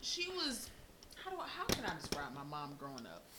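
A woman speaks in an animated tone at a moderate pace. Noticeable background noise is present. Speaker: podcast host. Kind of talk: casual banter. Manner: animated, joking.

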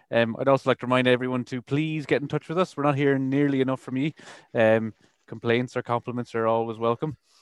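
A man talks very fast with an Irish accent, his pitch in the medium range. The intonation stays fairly even, and the sound is dry and close with no echo. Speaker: radio host. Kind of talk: casual chat; show announcements.

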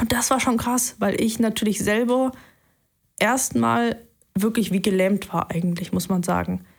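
A woman speaks at a fairly slow pace with long, frequent pauses, her voice somewhat breathy and her loudness very even. Her pitch varies in an ordinary way, and the recording is very clean with a silent background. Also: medium pitch for a woman. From Saxony, eastern Germany (Leipzig). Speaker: airline and private jet pilot. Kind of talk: interview testimony.

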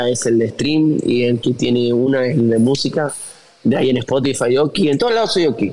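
The speaker talks at a moderate pace with ordinary pitch variation. Noticeable background noise runs underneath. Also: man. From Argentina, Tucumán (northwest). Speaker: musician and influencer. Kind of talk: casual interview. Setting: video call.

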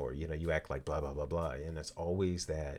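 This man's voice sits at a very deep, low pitch with vocal fry. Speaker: podcast host, marriage advice. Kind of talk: casual advice talk.

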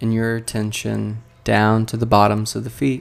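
Calm and soothing, a man speaks at a fairly slow pace. His pitch is medium. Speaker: therapist and mindfulness teacher. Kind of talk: guided meditation; solo talk on podcast. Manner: slow, calm, soothing, gently paced with pauses.

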